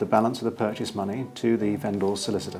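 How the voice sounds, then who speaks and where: This is a man speaking with a British accent. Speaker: property auctioneer. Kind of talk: explanatory advice to camera. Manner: clear, measured, authoritative.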